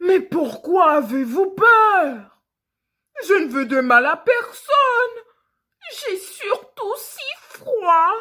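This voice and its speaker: In a put-on character voice, a woman growls at extremely high pitch with very wide pitch swings. She speaks at a very slow pace with long, frequent pauses. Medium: read story. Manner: gentle, warm.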